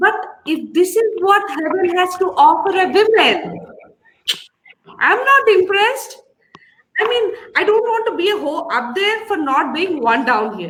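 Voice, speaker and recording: Speaking fairly slowly with long, frequent pauses, a woman with an Indian accent uses an extremely high pitch and very wide pitch swings, with audible room echo around her. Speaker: comedian. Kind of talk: stand-up.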